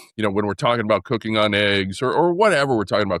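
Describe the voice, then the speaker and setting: A man with an American accent speaks at a fairly low pitch, swinging very widely in pitch. The recording is very clean and silent behind him, with a dry, close sound and no echo. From California. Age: 60s. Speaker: former basketball player turned pitmaster. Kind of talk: casual chat. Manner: halting.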